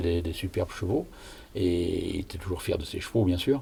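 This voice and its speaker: A man talks at a fairly quick pace in a dark, mellow tone that is somewhat breathy. His pitch variation is ordinary. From Brittany, near Rennes. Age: 70s. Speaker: retiree recalling village history. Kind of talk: oral history interview.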